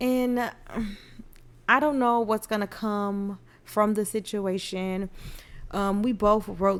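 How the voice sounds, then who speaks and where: Soft-spoken and very slow, the voice moves with ordinary pitch variation. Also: woman. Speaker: podcast host and nurse. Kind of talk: casual monologue podcast.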